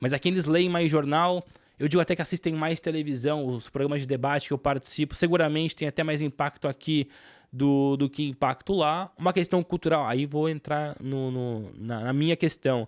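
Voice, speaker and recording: Recorded dry and close with no echo against a silent background, a man with a fairly high pitch speaks at a moderate pace with fairly even intonation. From Brazil, São Paulo state. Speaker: sports commentator and journalist. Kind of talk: podcast interview.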